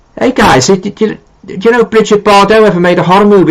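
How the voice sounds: A man with a Liverpool accent speaks at a fast pace. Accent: Liverpool (Scouse).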